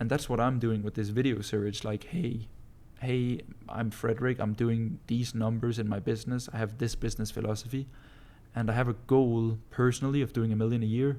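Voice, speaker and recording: Dark, mellow tone marks this man's voice with a Danish accent, at a medium pitch and fairly quick pace with monotone, flat intonation. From Denmark. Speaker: entrepreneur vlogger. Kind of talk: casual vlog monologue. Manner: casual, with frequent fillers.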